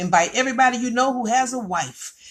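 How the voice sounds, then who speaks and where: Energetic and animated, a woman speaks at a fairly quick pace and a fairly high pitch. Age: 60s. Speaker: network marketing distributor. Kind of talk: sales pitch. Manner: repetitive, energetic.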